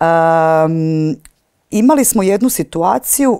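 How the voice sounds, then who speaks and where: A woman speaks in a fairly low pitch with a dark, mellow tone and very wide pitch swings against a quiet background. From eastern Croatia (Slavonia), childhood partly in Switzerland; Croatia. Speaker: stage and screen actress; screen actress. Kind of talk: interview. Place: hall. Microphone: lapel.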